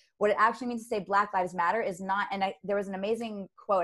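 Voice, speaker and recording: With an American accent and an animated tone, a woman speaks at medium pitch and a very fast pace. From United States. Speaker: emotional intelligence and leadership trainer. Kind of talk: casual interview chat.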